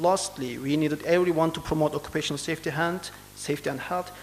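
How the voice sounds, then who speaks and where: A man's fairly high-pitched voice with a Turkish accent. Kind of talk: conference presentation. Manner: halting; formal.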